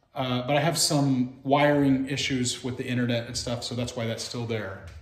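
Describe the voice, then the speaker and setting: A man at a moderate pace, with audible room echo. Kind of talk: casual vlog chat. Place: factory. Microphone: phone near.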